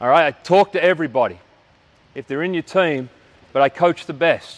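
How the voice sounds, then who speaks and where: Speaking at a moderate pace with an Australian accent, a man has a fairly high pitch and a dry, close sound with no echo. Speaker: basketball coach. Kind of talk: coaching clinic lecture. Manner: loud.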